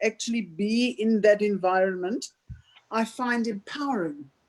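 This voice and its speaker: Her intonation lively and her pitch fairly high, a woman speaks in an unremarkable speaking voice. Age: 60s. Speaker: audience member asking question. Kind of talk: Q&A comment in online talk. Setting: video call.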